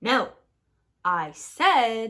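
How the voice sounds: Very slowly, a woman performs a put-on character voice with a bright, sharp tone and big pitch swings.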